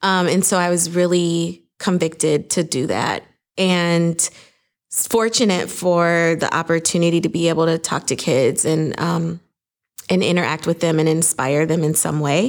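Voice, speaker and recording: A woman speaks at a moderate pace in a plain, everyday voice, her fairly low pitch held in fairly even intonation on a very clean recording with a silent background. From Minnesota, US (Saint Paul). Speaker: entrepreneur, business founder. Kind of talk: interview.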